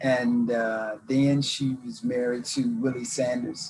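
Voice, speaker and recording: Fairly even intonation in an American accent comes over music in the background. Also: man. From US South, Mississippi. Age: 60s. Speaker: interviewee telling life story. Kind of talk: casual interview. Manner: halting, many fillers.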